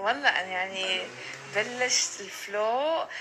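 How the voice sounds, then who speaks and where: A woman speaks over noticeable background noise. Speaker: TikToker. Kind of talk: casual talk to camera.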